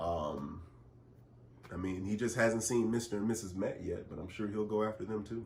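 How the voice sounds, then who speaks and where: A man talks at a moderate pace, his voice somewhat breathy. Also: fairly low pitch for a man, ordinary pitch variation. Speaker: public address announcer and in-arena host. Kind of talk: interview answer, casual conversation.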